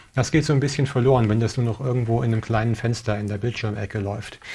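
A somewhat breathy voice with fairly even intonation. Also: man. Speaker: tech show host. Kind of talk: tutorial. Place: studio. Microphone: lapel.

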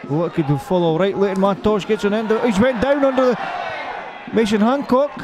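A man's high-pitched, animated voice with lively intonation at a very fast pace, crowd noise in the background. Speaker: football commentator. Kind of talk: live football commentary. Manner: animated, rapid-fire; laughs and banters with co-commentator.

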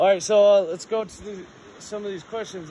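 Someone talks at a fairly quick pace with noticeable background noise behind them. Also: man. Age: 20s. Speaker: interviewer. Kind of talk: interview. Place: open country. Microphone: phone near.

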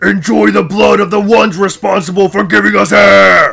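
A man's put-on character voice, high in pitch, at a moderate pace with very even loudness. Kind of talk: casual vlog chat. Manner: menacing, sinister.

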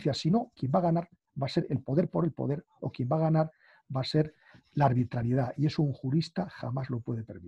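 A man's fairly high, dark, mellow voice with vocal fry and lively intonation, at a fairly quick pace, recorded dry with no echo against a quiet background. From Galicia, Spain. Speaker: law professor. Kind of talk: interview conversation. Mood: earnest, concerned. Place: home room. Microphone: video call.

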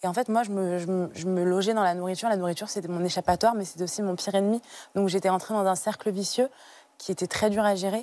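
A woman talks at a very fast pace with a dark, mellow tone and fairly even intonation, in a dry sound with no echo. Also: medium pitch for a woman. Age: 20s. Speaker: guest sharing personal story of childhood obesity; TV guest. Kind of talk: testimony. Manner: halting with frequent hesitations. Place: studio. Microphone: lapel.

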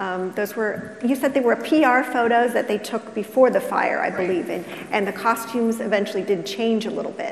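A woman's fairly high voice with fairly even intonation, over noticeable background noise. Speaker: librarian and panel moderator. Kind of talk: moderated panel discussion. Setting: stage with live audience in library. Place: stage.

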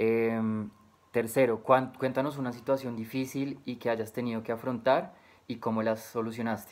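His intonation stays fairly even. The man keeps to a moderate pace. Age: 20s. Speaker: job applicant. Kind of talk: recorded job interview answers. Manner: hesitant, frequent filler 'eh'. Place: home room. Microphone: webcam.

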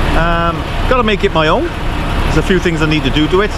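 Loud background noise surrounds a man speaking at a fairly quick pace with ordinary pitch variation and a dry sound with no echo. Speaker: truck driver vlogger. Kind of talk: casual vlog chat. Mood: pleased, relaxed. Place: street. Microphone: phone near.

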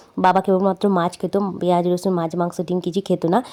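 A woman's medium-pitched voice with a dark, mellow tone, in a very clean recording against a silent background. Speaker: cooking vlogger. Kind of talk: casual vlog narration.

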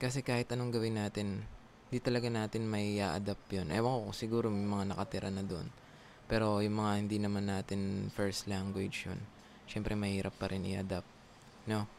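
In a slight Filipino accent, a man speaks fairly quickly at a fairly low pitch with monotone, flat intonation, the sound dry with no echo and light background noise. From Philippines. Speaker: call center agent and YouTuber; YouTuber. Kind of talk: casual vlog tutorial. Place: home room. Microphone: studio mic.

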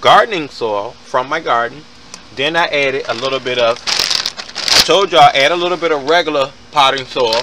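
A man's voice comes through a dry sound with no echo, against loud background noise. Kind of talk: casual gardening tutorial. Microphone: phone near.

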